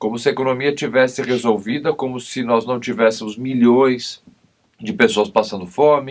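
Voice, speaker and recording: Using a normal speaking voice, a man speaks at medium pitch and a moderate pace with ordinary pitch variation. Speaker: criminal lawyer and TV commentator. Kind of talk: TV interview.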